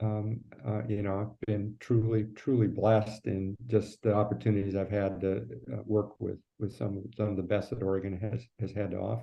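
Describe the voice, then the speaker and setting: Speaking at a moderate pace, the man has a fairly low pitch and fairly even intonation. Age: 60s. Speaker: former politician. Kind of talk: interview conversation. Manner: halting, many fillers.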